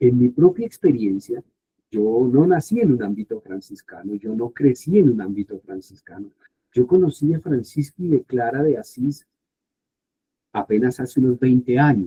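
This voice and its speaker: A man speaks in an ordinary speaking voice at a medium pitch. His pace is moderate and his intonation lively. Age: 60s. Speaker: Bible scholar and professor. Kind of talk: informal talk to youth group.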